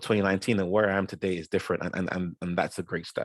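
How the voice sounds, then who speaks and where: A man with a Yoruba accent, fairly low-pitched and very fast, in a dry, close sound with no echo. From South London. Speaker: guest speaker. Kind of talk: talk to an audience. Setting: video call. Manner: halting, many repeated words.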